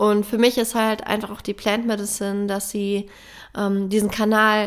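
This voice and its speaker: A woman is talking. Her voice sits fairly high. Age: 30s. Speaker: plant medicine ceremony facilitator and podcaster. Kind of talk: spiritual monologue. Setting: alone in a room at home.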